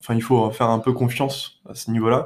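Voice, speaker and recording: In monotone, flat intonation, a man speaks at medium pitch. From Paris region. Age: 20s. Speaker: aviation enthusiast. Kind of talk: interview. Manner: halting.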